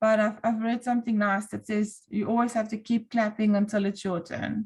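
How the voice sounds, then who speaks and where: A fairly high-pitched woman with an Afrikaans accent, somewhat breathy, monotone and flat, at a moderate pace. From South Africa. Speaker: volunteer online group moderator. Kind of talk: interview.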